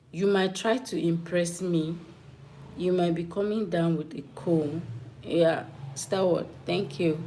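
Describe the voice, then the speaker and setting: A woman with a fairly low pitch speaks very slowly with long, frequent pauses and fairly even intonation. Noticeable background noise and audible room echo fill the recording. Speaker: live streamer. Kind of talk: live stream chat with viewers. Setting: live stream.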